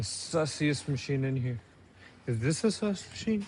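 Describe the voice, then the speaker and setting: A man is speaking. His voice is somewhat breathy. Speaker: fitness vlogger. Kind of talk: casual gym vlog.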